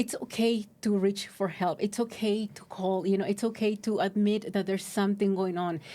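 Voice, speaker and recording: This woman talks with a Spanish accent. Her pitch sits in the medium range. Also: moderate pace. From Mexico. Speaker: recovery services outreach worker. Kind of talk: podcast interview. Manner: halting, many fillers.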